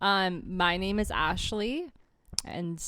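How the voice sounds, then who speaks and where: A loud woman speaks at a very slow pace with fairly even intonation, recorded very cleanly against a silent background. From small town. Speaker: podcast co-host. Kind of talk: casual chat. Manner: trails off at end of sentences; loud, good projection.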